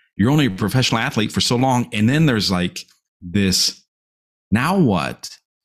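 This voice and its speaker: An American man speaks at a moderate pace with very even loudness. The recording is very clean, with a silent background. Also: medium pitch for a man, lively intonation. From US Midwest, rural Illinois. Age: 40s. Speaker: motivational speaker and life coach. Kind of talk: podcast interview.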